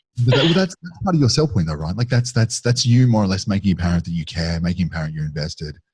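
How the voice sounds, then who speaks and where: Speaking at a very fast pace with hardly any pauses, a man sounds somewhat breathy. His pitch is fairly low, with very wide swings. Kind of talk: casual chat.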